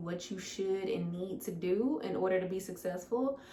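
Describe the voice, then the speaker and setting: An animated woman with an American accent talks at a medium pitch and moderate pace amid noticeable background noise and audible room echo. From US Midwest, St. Louis, Missouri. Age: 20s. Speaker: fitness coach. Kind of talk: Q&A monologue to camera. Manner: casual, animated.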